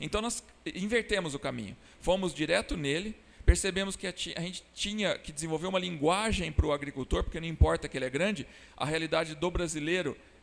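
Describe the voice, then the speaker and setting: A man's high-pitched voice moves at a fairly quick pace, showing ordinary pitch variation. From Brazil, Ribeirão Preto (São Paulo interior). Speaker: biological pest control entrepreneur. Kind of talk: interview.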